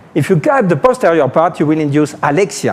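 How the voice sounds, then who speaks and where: With a French accent, a fairly high-pitched man talks at a fairly quick pace, using very wide pitch swings over noticeable background noise. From France. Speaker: neurosurgeon. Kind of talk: lecture. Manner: animated.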